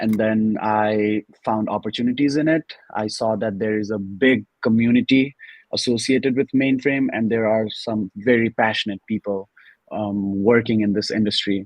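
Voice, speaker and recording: A man's fairly low voice with a Nepali accent, moderate in pace and fairly even in intonation. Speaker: student and mainframe analyst. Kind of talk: interview. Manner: formal.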